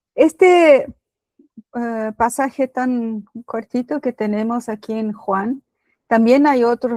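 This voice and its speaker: A woman with a Brazilian accent at a very slow pace, fairly high in pitch with ordinary pitch variation, on a very clean recording with a silent background and a dry, close sound with no echo. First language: Portuguese (speaking Spanish). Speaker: lay preacher. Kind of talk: sermon. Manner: halting.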